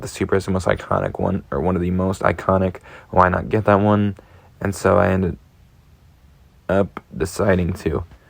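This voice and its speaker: In a raspy, put-on character voice, a man speaks at a very deep, low pitch with fairly even intonation. He keeps a moderate pace broken by long, frequent pauses. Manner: stuttering.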